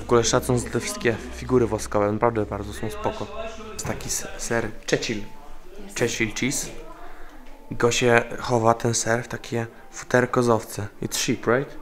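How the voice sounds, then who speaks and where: Noticeable noise sits in the background. A man's speech moves at a moderate pace. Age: 20s. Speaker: travel vlogger. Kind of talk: casual vlog narration.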